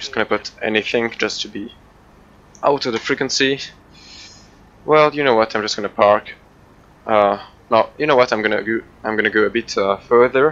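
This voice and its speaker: A man with a non-native accent talks at a fairly quick pace and medium pitch with fairly even intonation, broken by long, frequent pauses. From Switzerland. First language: not English. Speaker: flight sim video creator. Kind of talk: gameplay commentary. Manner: halting, many fillers.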